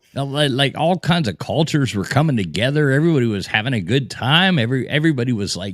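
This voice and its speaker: On a very clean recording with a silent background, a man talks at a very fast pace in a fairly high, animated voice with vocal fry and very wide pitch swings. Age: 40s. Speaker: live stream host. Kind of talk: casual chat.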